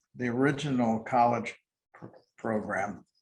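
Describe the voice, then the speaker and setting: A somewhat breathy voice at a very slow pace, with an American accent. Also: man. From Milwaukee, Wisconsin, USA. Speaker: retired corporate CEO and nonprofit board chair. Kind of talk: oral history interview answer. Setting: interview recording.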